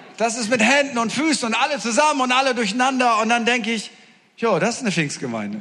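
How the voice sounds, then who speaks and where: Over noticeable background noise, a man speaks very fast in a raised, projected voice, animated and extremely high-pitched with ordinary pitch variation. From northern Germany. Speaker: preacher. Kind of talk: sermon. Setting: church with audience.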